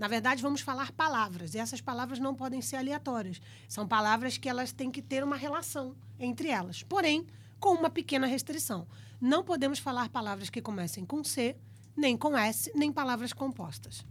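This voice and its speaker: On a very clean recording with a silent background, a woman speaks in a Brazilian accent at a high pitch, with lively intonation and a moderate pace. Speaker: podcast co-host. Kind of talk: casual interview; reading aloud.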